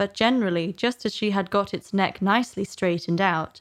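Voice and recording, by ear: The pitch shows ordinary variation. Someone is reading aloud in a natural voice.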